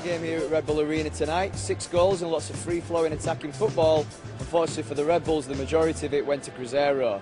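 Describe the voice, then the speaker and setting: Music plays in the background as a man talks at a very fast pace. His voice is fairly high, with lively intonation. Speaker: sports broadcaster. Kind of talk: sports news report to camera.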